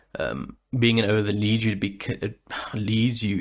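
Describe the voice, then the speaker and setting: Vocal fry runs through a man's fairly low voice, with ordinary pitch variation. The background is quiet. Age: 30s. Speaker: podcast host; aspiring voice actor and singer. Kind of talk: casual podcast monologue. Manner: hesitant, rambling.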